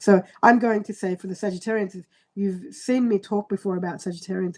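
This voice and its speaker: At a fairly quick pace, a woman with a medium pitch and a somewhat breathy voice speaks with fairly even intonation in a dry, close sound with no echo. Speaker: astrologer. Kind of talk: live-stream horoscope reading. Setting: live stream on computer. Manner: fast.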